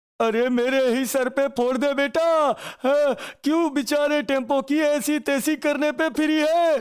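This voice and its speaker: Delivered fairly slowly, the speech comes in a cartoonish character voice. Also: man, extremely high pitch for a man. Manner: jokey, exclaims "Oh no!".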